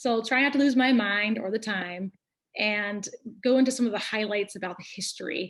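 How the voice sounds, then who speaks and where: With ordinary pitch variation, a woman talks at a moderate pace in a fairly high pitch. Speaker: nurse practitioner. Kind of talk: educational webinar talk.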